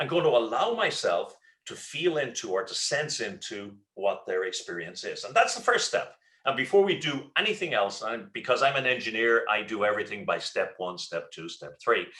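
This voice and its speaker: Speaking with an Irish accent, a man keeps a moderate pace. His loudness swings widely. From Ireland. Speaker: leadership speaker and trainer. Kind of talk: webinar presentation. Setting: online webinar. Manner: hesitant with fillers and repetitions.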